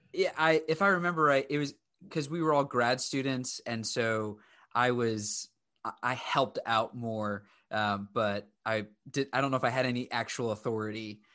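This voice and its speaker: A man in a quiet background, medium in pitch, at a moderate pace with ordinary pitch variation. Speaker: podcast host and young adult ministry leader. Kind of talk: casual interview on a live stream.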